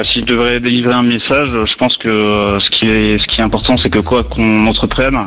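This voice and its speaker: With noticeable noise in the background, the talking proceeds at a moderate speed. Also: man. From Lorraine, France. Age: 30s. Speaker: firefighter officer and author. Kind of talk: radio interview. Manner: hesitant with fillers.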